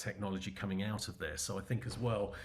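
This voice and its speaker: A very fast, somewhat breathy man in an English accent. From England. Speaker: business consultant. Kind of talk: webinar Q&A. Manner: halting, many fillers.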